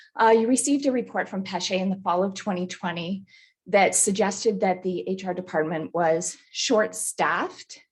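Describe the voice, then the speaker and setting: Vocal fry runs through this voice as it moves at a moderate pace with ordinary pitch variation. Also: woman, medium pitch for a woman. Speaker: municipal human resources staff. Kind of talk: staff report presentation to council. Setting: council meeting.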